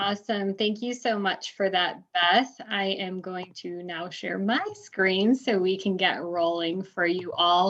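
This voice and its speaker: A woman talks with a Midwestern accent at a very slow pace. She leaves hardly any pauses, and her intonation stays fairly even. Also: medium pitch for a woman. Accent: nasally Midwestern. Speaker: university recruitment manager. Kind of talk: webinar panel moderation. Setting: online webinar.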